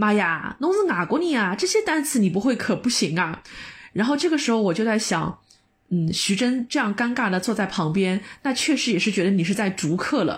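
A somewhat breathy voice at a moderate pace, with very wide pitch swings, very even loudness, and a very clean recording over a silent background. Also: woman. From Shanghai. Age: 30s. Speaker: podcast co-host, office worker. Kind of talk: casual chat.

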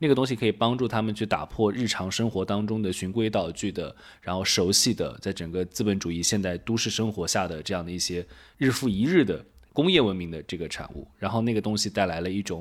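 On a very clean recording with a silent background, a man talks fairly quickly with ordinary pitch variation. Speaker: podcast host and philosophy professor. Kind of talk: casual podcast conversation.

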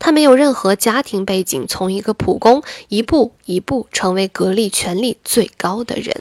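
On a dry, close recording with no echo, a woman speaks at a moderate pace with hardly any pauses, a fairly high pitch and lively intonation. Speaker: livestream host. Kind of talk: casual livestream chat; reading aloud. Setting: live stream from computer.

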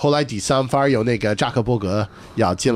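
A man speaks at a moderate pace. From northeastern US. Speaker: stand-up comedian. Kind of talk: casual chat. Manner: halting.

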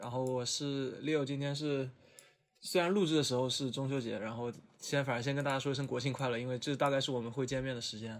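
A man rattles along at a very fast pace. His medium-pitched voice keeps a fairly even intonation. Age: 20s. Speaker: podcast host. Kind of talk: casual chat.

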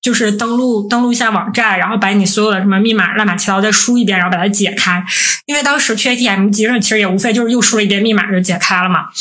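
Talking at a very fast pace, a woman with a medium pitch keeps her loudness very even and her intonation fairly even, with audible room echo and noticeable background noise. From Northeast China. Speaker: podcast co-host, PhD student. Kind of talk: casual chat.

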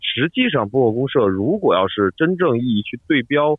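At a moderate pace, the voice swings very widely in pitch. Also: man. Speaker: podcast network head. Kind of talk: casual interview. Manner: radio broadcaster style.

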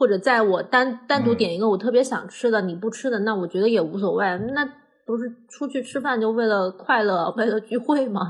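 An unremarkable speaking voice from a woman, fairly high in pitch, at a fairly quick pace with ordinary pitch variation. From Hunan, China. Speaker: podcast co-host, cook. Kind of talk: casual chat.

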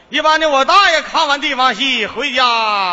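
A man speaks with lively intonation. His pitch is extremely high. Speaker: folk opera performer. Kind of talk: stage comedy banter. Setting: stage with audience. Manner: animated.

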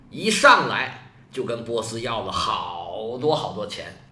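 Amid audible room echo and noticeable background noise, a man sounds animated, making very wide pitch swings. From China. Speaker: history podcaster. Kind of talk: storytelling.

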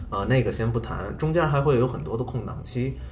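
A man with a Beijing accent, medium pitch and ordinary pitch variation, plus audible room echo and music in the background. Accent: obvious Beijing. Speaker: airline staff. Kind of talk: casual interview chat.

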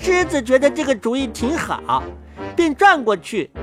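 Faint music plays in the background as the voice, fairly bright in tone, moves through big pitch swings. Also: woman.

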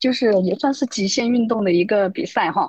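Somewhat breathy and fairly high-pitched, a woman talks at a fairly slow pace with very wide pitch swings, the sound dry and close with no echo against a quiet background. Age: 30s. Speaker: amateur runner, interview candidate. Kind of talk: interview.

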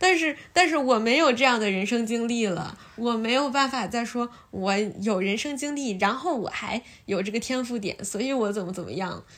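A woman speaks in a normal speaking voice at a moderate pace, her pitch fairly high and her intonation lively. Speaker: podcast host. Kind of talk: casual chat. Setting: at friend's home.

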